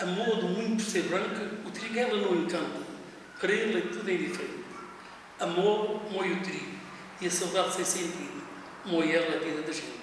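Strong room echo and light background noise surround a man talking at a moderate pace with fairly even intonation. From Portugal. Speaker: retired driver, amateur poet. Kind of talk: poetry reading. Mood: wistful, nostalgic. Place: office.

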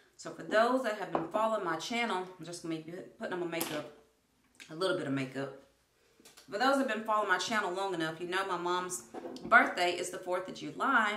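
A woman talks at a very fast pace with ordinary pitch variation. Audible room echo and light background noise are present. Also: big swings in loudness. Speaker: family vlogger. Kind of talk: casual vlog chat. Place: bathroom. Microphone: phone near.

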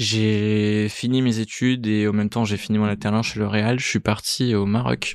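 Over a quiet background, a man with a fairly low pitch speaks with fairly even intonation. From Italy, moved to France at 13. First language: Italian (speaking French). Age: 30s. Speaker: entrepreneur, startup co-founder. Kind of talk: interview conversation. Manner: hesitant, many fillers.

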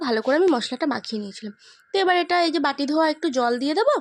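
A woman's voice with lively intonation. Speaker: vlogger. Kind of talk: casual vlog narration. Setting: at home. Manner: soft-spoken.

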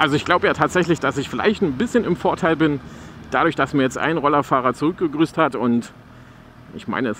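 Lively intonation and a fairly bright tone come at a fairly quick pace. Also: man.

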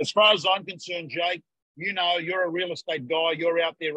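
A man with an Australian accent, high in pitch and bright, sharp in tone, at a moderate pace, with a dry, echo-free sound and a quiet background. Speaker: real estate coach. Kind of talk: live webinar chat. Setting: video call. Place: office. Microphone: video call.

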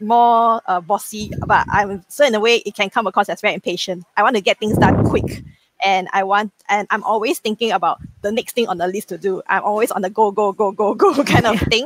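A woman at a fairly quick pace with a fairly high pitch and ordinary pitch variation, over light background noise. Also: dry sound with no echo. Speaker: bank executive and business founder. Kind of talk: casual chat. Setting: video call. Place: home room.

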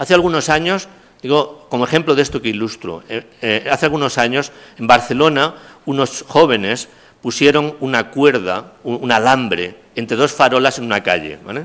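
Using a normal speaking voice, a man of medium pitch talks at a moderate pace with lively intonation. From Castilla-La Mancha, Spain. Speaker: criminology professor. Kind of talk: lecture. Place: hall. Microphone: podium.

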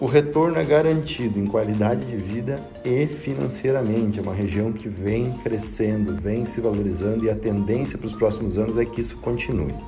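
A man at a fairly quick pace with hardly any pauses, over clear music in the background. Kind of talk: property tour commentary. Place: home room. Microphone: phone near.

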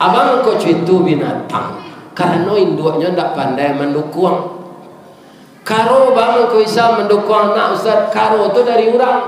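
Over light background noise and audible room echo, the speaker talks fairly slowly with lively intonation and very even loudness. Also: man, high pitch for a man. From West Sumatra. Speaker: preacher. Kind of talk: sermon. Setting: mosque with congregation. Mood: humorous, animated. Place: church.

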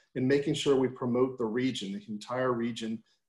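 In a room with audible echo but a quiet background, a man speaks at a fairly quick pace with fairly even intonation. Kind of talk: presentation. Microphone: video call.

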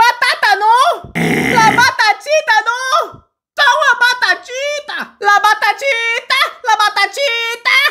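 A put-on character voice, pitched extremely high, moves along at a fairly slow pace. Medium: dub. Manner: pleading, exaggerated.

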